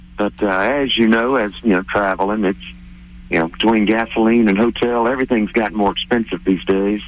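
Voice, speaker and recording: At a fairly quick pace, a man with an American accent and a plain, everyday voice talks in a fairly low pitch with fairly even intonation and very even loudness. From New Orleans, US South. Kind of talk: casual chat. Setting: phone call.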